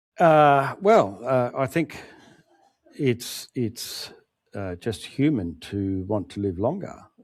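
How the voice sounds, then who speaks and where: Against a silent background on a very clean recording, a man with an Australian accent speaks very slowly at a medium pitch, his voice making very wide pitch swings. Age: 60s. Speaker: author. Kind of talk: interview.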